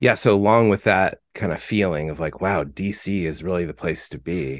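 Against a quiet background, a man with an American accent talks at a moderate pace with ordinary pitch variation. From Southern California (Fullerton). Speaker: musician, singer-songwriter. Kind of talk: casual interview chat.

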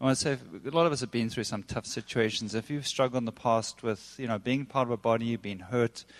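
A man with a plain, everyday voice talks fairly quickly at medium pitch, with ordinary pitch variation. The sound is dry and close with no echo, over a quiet background. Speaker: church leader. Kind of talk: church announcements. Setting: church.

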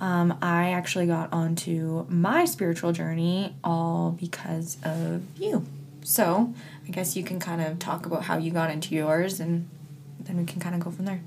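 A woman at a moderate pace and fairly low pitch with fairly even intonation, amid noticeable background noise and audible room echo. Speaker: podcast host. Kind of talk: casual chat. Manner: laughs often.

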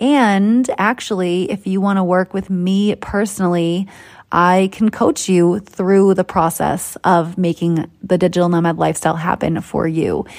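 Speaking with an American accent, a woman talks at a fairly slow pace and a medium pitch. Her tone is animated. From Boston, US. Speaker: podcast host and digital nomad coach. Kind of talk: solo podcast monologue. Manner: animated, conversational.

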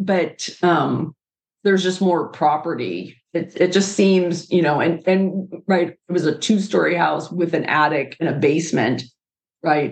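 A woman with a plain, everyday voice speaks fairly slowly at a fairly low pitch with ordinary pitch variation. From Pittsburgh, US. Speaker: podcast host, architect. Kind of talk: casual chat; reading aloud.

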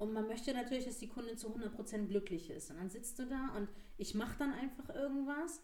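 In a room with audible echo, a woman talks at a fairly quick pace with a fairly high pitch and ordinary pitch variation. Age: 30s. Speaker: marketing manager. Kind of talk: casual chat.

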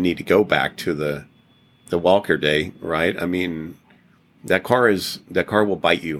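On a very clean recording with a silent background, a man talks at a moderate pace in a very deep, low pitch with ordinary pitch variation. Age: 60s. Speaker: Porsche mechanic. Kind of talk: interview.

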